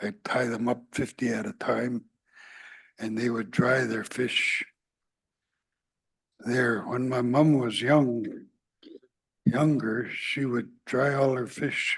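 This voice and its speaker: A man talks at a very slow pace with a Yukon accent. His intonation stays fairly even. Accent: Yukon First Nations Canadian English. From Yukon, Canada (Whitehorse), First Nations. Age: 70s. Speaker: First Nation elder and fisher. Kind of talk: testimony. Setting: public meeting in person.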